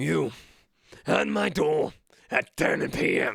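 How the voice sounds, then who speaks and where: A man puts on a character voice, raspy and gruff at a medium pitch. He speaks at a very slow pace. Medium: read story. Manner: gruff, impatient.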